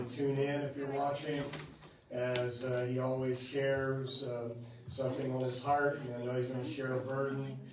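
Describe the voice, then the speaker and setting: The man's delivery is monotone and flat. Room echo can be heard, along with noticeable background noise. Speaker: preacher. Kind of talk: church announcements. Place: church. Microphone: camera far.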